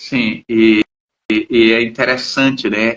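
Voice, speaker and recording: Medium in pitch, this man talks at a very slow pace. The recording is dry and close, with no echo. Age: 60s. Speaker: psychologist and channel host. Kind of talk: casual chat. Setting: live stream.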